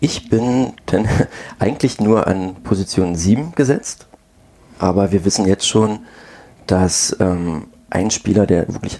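A man speaks with a very deep, low pitch and ordinary pitch variation. Noticeable background noise is present. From Brandenburg, Germany. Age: 30s. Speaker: amateur tennis player. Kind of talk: casual chat.

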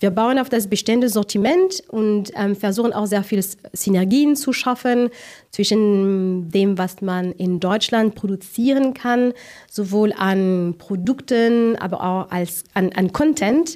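A woman in a French accent, medium pitch and a dark, mellow tone, ordinary pitch variation at a very slow pace. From France. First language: French (speaking German). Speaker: marketing director. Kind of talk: interview.

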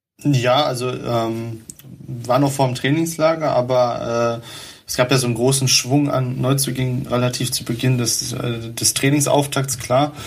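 A man talks at medium pitch and a moderate pace in a monotone, flat intonation, with audible room echo and noticeable background noise. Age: 20s. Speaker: football club writer. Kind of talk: casual football chat. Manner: many fillers, hesitant.

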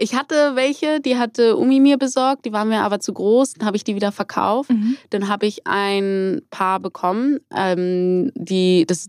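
On a very clean, dry, close recording with a silent background and no echo, a woman with an unremarkable speaking voice talks at a moderate pace and medium pitch with lively intonation. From Hamburg, northern Germany. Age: 20s. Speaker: roller skating instructor and student. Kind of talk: casual interview.

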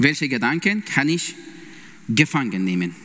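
A man is speaking. His pitch swings very widely. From Iran. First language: Persian (speaking German). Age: 30s. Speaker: lay preacher and intensive care nurse. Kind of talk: sermon. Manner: halting, with many fillers.

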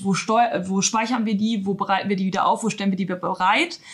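Somewhat breathy woman's voice at a medium pitch, with fairly even intonation. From northern Germany, Emsland. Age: 30s. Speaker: IT manager. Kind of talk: interview.

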